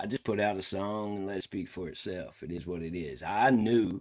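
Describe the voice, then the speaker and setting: Speaking in a Southern US accent, the man uses ordinary pitch variation. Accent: country Southern. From Tennessee, US South. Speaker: country rapper and streamer. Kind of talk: casual livestream commentary.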